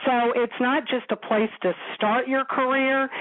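Fairly slow speech from a woman, noticeable background noise behind it. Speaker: company founder and author. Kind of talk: radio interview.

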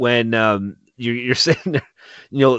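A man is speaking. His pace is moderate. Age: 40s. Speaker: podcast host. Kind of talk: casual chat, comedic banter. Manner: swears often, animated.

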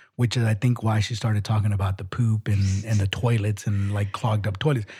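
Somewhat breathy and dark, mellow in tone, a man at fairly low pitch talks at a fairly quick pace with ordinary pitch variation on a very clean recording with a silent background. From Mexican heritage. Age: 40s. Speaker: podcast co-host. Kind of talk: casual chat.

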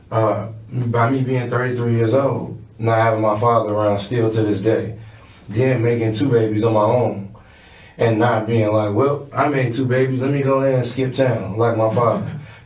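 Amid audible room echo, a man speaks at a moderate pace in a medium pitch, with very even loudness and monotone, flat intonation. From Chicago West Side. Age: 30s. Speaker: music artist. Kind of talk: casual interview.

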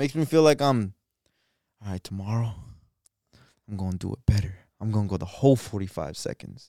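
Over a very clean recording with a silent background and a dry, close sound with no echo, a man with a dark, mellow tone and fairly low pitch speaks at a fairly quick pace with lively intonation and long, frequent pauses. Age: 20s. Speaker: podcast co-host. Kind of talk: casual chat.

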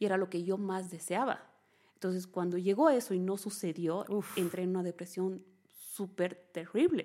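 A woman speaks at a moderate pace with a medium pitch. Her tone is dark and mellow, with fairly even intonation. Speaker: holistic therapist and emotional coach. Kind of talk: interview testimony.

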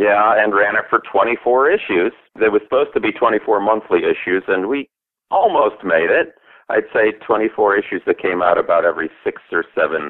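Speaking at a moderate pace, a man keeps his loudness very even. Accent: American. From US Midwest, Milwaukee. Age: 50s. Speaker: author. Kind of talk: casual interview chat.

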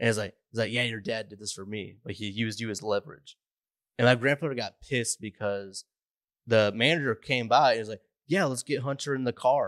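In a normal speaking voice, a man talks fairly quickly at a medium pitch with ordinary pitch variation and big swings in loudness, in a dry, close sound with no echo over a quiet background. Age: 30s. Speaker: podcast co-host. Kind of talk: casual chat.

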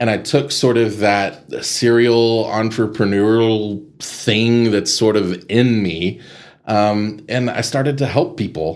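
A man speaks at a very slow pace with a medium pitch. His pitch variation is ordinary. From Texas Panhandle, Amarillo. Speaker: nonprofit executive director. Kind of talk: interview conversation.

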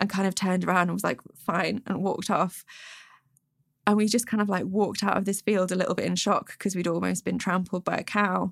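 On a very clean recording with a silent background and a dry, close sound with no echo, a woman with a Derbyshire accent speaks at a fairly quick pace and a medium pitch, monotone and flat, with very even loudness and vocal fry. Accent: northern English (Derbyshire). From England, Peak District (Derbyshire). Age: 20s. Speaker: toy maker and podcaster. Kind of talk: casual interview. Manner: casual, filler-heavy ('like', 'um').

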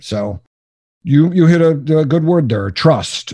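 A somewhat breathy man with an American accent, dark and mellow in tone, fairly slow, with very wide pitch swings. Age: 60s. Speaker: business coach. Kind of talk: interview.

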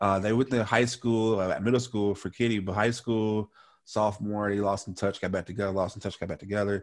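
A man speaks in a plain, everyday voice with a fairly low pitch. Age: young. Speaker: podcast host. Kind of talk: casual chat.

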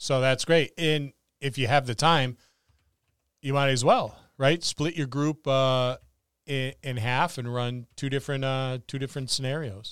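A man with a normal speaking voice talks at a fairly slow pace, medium in pitch and fairly even in intonation. The recording is very clean, with a silent background and a dry, close sound with no echo. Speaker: podcast host. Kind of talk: casual chat. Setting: Facebook live video stream.

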